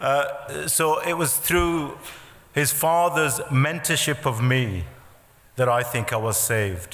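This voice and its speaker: A man at a very slow pace, fairly high in pitch with ordinary pitch variation and very even loudness, amid audible room echo and noticeable background noise. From Bradford, Yorkshire. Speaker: businessman. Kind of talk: speech. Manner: halting.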